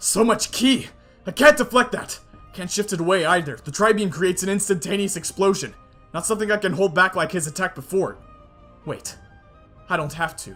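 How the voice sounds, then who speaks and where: Doing a put-on character voice, a man speaks in a high pitch at a fairly quick pace with long, frequent pauses, faint music playing in the background. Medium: read story. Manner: determined.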